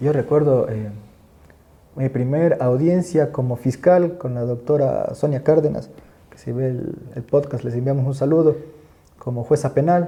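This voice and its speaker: The speaker has a dark, mellow, somewhat breathy tone, ordinary pitch variation, big swings in loudness, and long, frequent pauses. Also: man, fairly high pitch for a man. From Ecuador, coast (El Oro province). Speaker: criminal court judge and law professor. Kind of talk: podcast interview. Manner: fast; halting, many repetitions.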